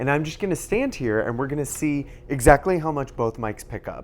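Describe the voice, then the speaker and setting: With lively intonation, a man speaks at a fairly high pitch and a fairly quick pace amid noticeable background noise. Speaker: tech reviewer. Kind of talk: product review and mic test. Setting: backyard, then indoors at home. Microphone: small wireless clip-on mic, far from camera.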